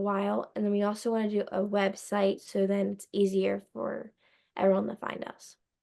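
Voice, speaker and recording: This woman has an American accent and a medium pitch. She talks at a fairly quick pace against a quiet background. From Delaware County, Pennsylvania (US). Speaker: podcast host, guest. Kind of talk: casual chat. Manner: loud; animated.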